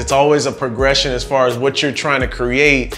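Faint music plays behind a man's voice. His intonation stays fairly even. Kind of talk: casual vlog chat. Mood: warm, reflective. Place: home room. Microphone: lapel.

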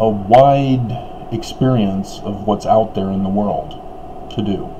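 A man's fairly low-pitched voice at a very slow pace, with noticeable background noise. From Utah, US. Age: 50s. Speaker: religious commentator. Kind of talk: monologue commentary; casual vlog commentary. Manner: casual, halting with fillers. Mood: critical, earnest. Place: home room. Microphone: webcam.

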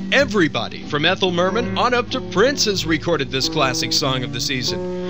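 Over music in the background, a man speaks in a fairly high voice with very wide pitch swings and an upbeat tone. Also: fairly quick pace. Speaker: radio DJ. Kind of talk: spoof TV-style infomercial pitch. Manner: hard-sell, upbeat announcer.

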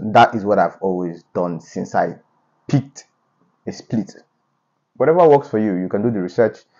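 A man's speech moves at a fairly quick pace, and the background stays quiet. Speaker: fitness vlogger. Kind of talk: casual vlog chat. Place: home room. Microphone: lapel.

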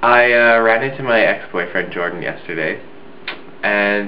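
The voice is a man's. Light background noise can be heard. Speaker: video blogger. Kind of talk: casual vlog chat. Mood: relaxed, reflective, smiling. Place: home room. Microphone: webcam.

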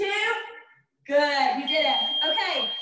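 A raised, projected voice speaks with an American accent. There is audible room echo over a quiet background. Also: woman. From US South. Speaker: fitness instructor. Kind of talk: live online group fitness class, coaching with timed cues. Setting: video call, live streamed workout at home. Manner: warm, chatty, and laughs often. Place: home room. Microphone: camera far.

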